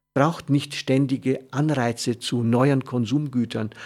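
Fairly slow and even in intonation, a man talks. His pitch is medium. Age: 60s. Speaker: radio host. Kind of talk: reflective talk. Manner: halting.

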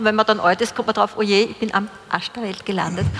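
Noticeable background noise sits behind this woman's voice. She speaks very fast at a fairly high pitch. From Upper Austria. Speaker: panel moderator. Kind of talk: moderated panel discussion.

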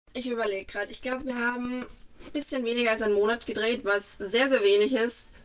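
At a fairly quick pace, a woman with a fairly high pitch and fairly even intonation speaks over noticeable background noise. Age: 20s. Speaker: actress. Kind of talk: interview.

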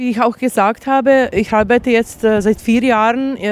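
Noticeable background noise sits under a voice with fairly even intonation. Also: woman. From Bosnia. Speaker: refugee aid worker, human rights activist. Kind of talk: testimony at a tribunal. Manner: halting, with many fillers.

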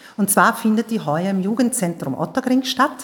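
A woman's fairly high, enthusiastic voice at a fairly quick pace, with ordinary pitch variation. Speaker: theater teacher.

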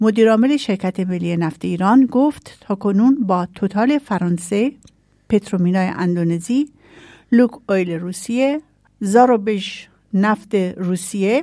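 Dark and mellow in tone, a woman speaks at a fairly slow pace with ordinary pitch variation. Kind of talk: news reading.

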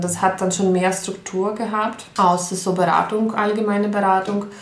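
With a Ukrainian accent, a woman speaks at medium pitch and a fairly slow pace in a monotone, flat intonation, amid noticeable background noise and audible room echo. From Ukraine. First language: Ukrainian (speaking German). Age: 30s. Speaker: pianist and refugee aid organizer. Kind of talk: interview. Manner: hesitant, with fillers.

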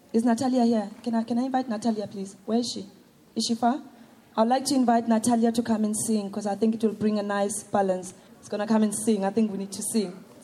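A woman speaks at a very fast pace in a fairly high voice. Her intonation is monotone and flat, with big swings in loudness. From South Africa, Soweto. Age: young. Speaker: performance poet. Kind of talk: poetry performance.

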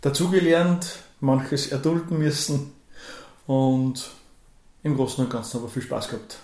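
A man speaks with a fairly high pitch and fairly even intonation. Audible room echo surrounds his voice. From Upper Austria, Kremstal. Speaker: dance teacher. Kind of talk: radio interview. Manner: hesitant, many fillers.

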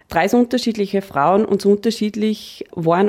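Her tone is dark and mellow, and her intonation is fairly even. The woman speaks at a moderate pace. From Austria, Upper Austria. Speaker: financial planning expert. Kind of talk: radio interview.

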